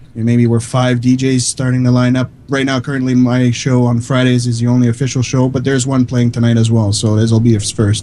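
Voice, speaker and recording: With a slight French Canadian accent, a man speaks at a fairly quick pace with hardly any pauses, his medium pitch, dark, mellow tone and very even loudness held in a monotone, flat intonation. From Quebec, Canada. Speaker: online radio DJ. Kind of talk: casual chat. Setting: live stream.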